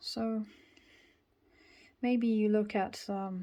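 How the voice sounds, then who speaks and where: The voice has a dark, mellow tone and a British accent, delivered in flat, monotone intonation. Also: woman. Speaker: tarot reader. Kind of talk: tarot reading to camera.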